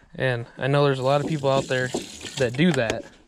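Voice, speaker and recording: The speech moves at a moderate pace. Noticeable background noise sits underneath. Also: man. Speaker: bear hunter and outdoors vlogger. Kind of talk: outdoor vlog tutorial. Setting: outdoors in the forest. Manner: quiet, hushed in the woods.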